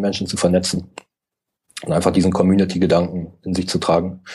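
Speaking at a very fast pace, a man uses a very deep, low pitch and a dark, mellow tone. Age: 30s. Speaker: digital nomad blogger and entrepreneur. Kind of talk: interview.

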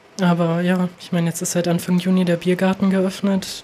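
Over noticeable background noise, a woman speaks at a medium pitch and a moderate pace in a monotone, flat way. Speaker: concert booker. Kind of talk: casual chat.

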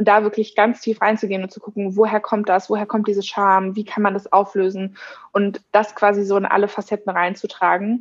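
Her delivery is flat and monotone, and the woman talks fairly quickly. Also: medium pitch for a woman. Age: 20s. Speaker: social media and events staff at a company. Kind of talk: interview.

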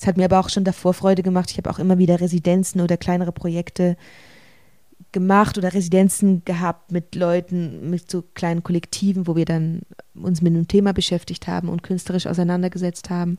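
In a dark, mellow tone and a fairly low pitch, a woman rattles off words at a very fast pace with monotone, flat intonation. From Switzerland, rural village. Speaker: stage actor. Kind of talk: interview.

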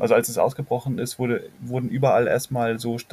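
At a fairly quick pace, a man speaks at medium pitch in a flat monotone, his voice somewhat breathy. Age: 20s. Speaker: climate activist and documentary filmmaker. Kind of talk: interview. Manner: halting.

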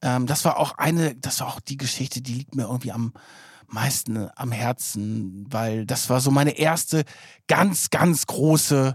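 Recorded with a dry, close sound and no echo, the voice moves at a fairly slow pace with ordinary pitch variation. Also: man. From northern Germany, near Bremen. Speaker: investigative journalist, podcast co-host. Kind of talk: casual chat. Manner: energetic.

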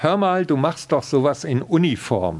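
This man delivers his words at a fairly slow pace. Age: 50s. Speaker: police chaplain. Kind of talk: interview. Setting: exhibition room.

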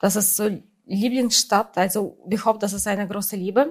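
A woman with a Russian accent speaks at a fairly high pitch with ordinary pitch variation. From Russia, St. Petersburg. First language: Russian (speaking German). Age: 40s. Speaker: photographer. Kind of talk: interview. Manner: halting, many fillers.

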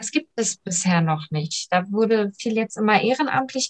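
A woman with an unremarkable speaking voice, pitched in the middle range, talks at a moderate pace with lively intonation. The sound is dry and close, with no echo. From Germany, family from Iran. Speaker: local politician, mayoral candidate. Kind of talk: interview.

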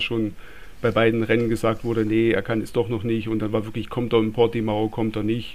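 With a Swabian accent, a man talks fairly quickly at a medium pitch in a monotone, flat delivery. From Swabia, southwest Germany. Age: 30s. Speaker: listener and motorsport fan, technician. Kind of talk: casual chat.

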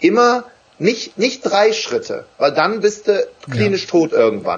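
A man is speaking. His pace is fairly slow. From Wuppertal, western Germany. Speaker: motivational trainer and speaker. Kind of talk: live interview. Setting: live stream on Facebook. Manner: animated.

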